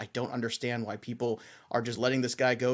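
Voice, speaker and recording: A man speaks at medium pitch. The recording is very clean, with a silent background. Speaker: fantasy baseball podcast host. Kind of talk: casual chat. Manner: animated.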